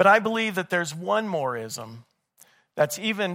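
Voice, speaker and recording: On a very clean recording with a silent background, a man sounds animated, with a high pitch and lively intonation. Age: 50s. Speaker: missionary speaker. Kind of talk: sermon.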